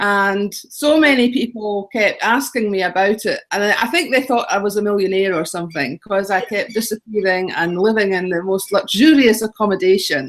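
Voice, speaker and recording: Her Scottish accent comes through as a woman at medium pitch talks at a moderate pace with hardly any pauses. Her pitch varies in an ordinary way. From Scotland. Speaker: travel blogger and author. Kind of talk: interview.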